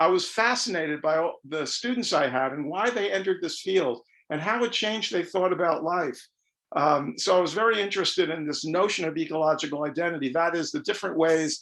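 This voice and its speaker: Pitched high for his sex, a man talks with ordinary variation in pitch. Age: 70s. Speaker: environmental studies professor and author. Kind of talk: lecture. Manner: halting, with many fillers.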